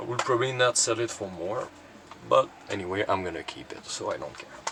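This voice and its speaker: A fairly quick delivery in a Quebec accent, with noticeable background noise. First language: French. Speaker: cassette collector YouTuber. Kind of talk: casual collection showcase. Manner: halting, many fillers.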